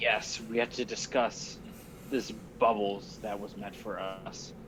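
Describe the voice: A man's put-on character voice, raspy and gravelly, at medium pitch and a fairly slow pace, with clear background noise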